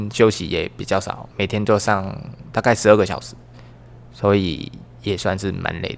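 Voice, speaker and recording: A man's fairly low-pitched voice with vocal fry, at a moderate pace and with ordinary pitch variation. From Vietnam. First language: Vietnamese (speaking Chinese). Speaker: podcast guest. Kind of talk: casual chat.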